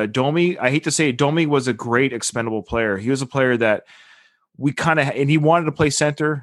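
In a plain, everyday voice, a man with a Canadian accent speaks at a fairly quick pace and medium pitch with ordinary pitch variation. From western Canada (Victoria, BC). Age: 40s. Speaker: podcaster and military member. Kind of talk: casual chat. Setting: video call.

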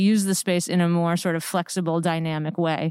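Very clean recording, silent background: a woman with an American accent speaks. Her normal speaking voice sits at medium pitch and moves at a moderate pace. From Connecticut. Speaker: theater director. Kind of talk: casual interview. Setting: empty theater.

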